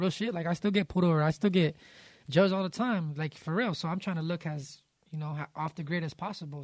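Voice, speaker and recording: An ordinary speaking voice from a man with an American accent, fairly high pitch, ordinary pitch variation and a quiet background. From Los Angeles area, San Gabriel Valley. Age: 30s. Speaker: music producer. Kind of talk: casual chat. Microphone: echo.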